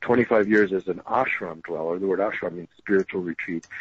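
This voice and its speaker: At a fairly quick pace, a man talks in a fairly low pitch with fairly even intonation. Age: 60s. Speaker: political candidate and spiritual speaker. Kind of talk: radio interview. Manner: halting, with frequent repeated words.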